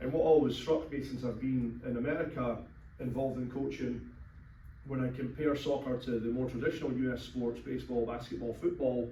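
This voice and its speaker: A man with a Scottish accent and fairly even intonation, amid noticeable background noise and audible room echo. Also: medium pitch for a man, fairly quick pace. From Scotland. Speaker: youth soccer coach. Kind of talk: informational talk to a meeting. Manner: conversational with many fillers.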